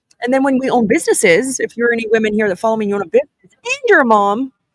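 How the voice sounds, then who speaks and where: Very fast and lively in intonation, a woman speaks at a fairly high pitch in a dry, close sound with no echo. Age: 40s. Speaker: podcast host and business owner. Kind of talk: casual live-stream chat. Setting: live stream at a conference. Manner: fast, filler-heavy.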